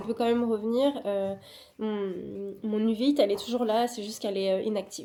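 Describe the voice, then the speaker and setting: The woman's fairly high voice has a dark, mellow tone. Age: 30s. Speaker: vlogger and illustrator. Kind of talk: casual vlog talk to camera. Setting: outdoors in the cold. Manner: soft-spoken; hesitant, many fillers.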